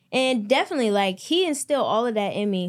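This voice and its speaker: In an American accent, a woman talks at a fairly quick pace with ordinary pitch variation. Hers is a plain, everyday voice. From US, Maryland. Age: 20s. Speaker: entrepreneur and clothing brand owner. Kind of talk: casual interview.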